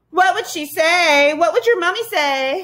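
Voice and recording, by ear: A woman performs a put-on character voice at an extremely high pitch with a fairly bright tone. She speaks at a fairly slow pace with lively intonation.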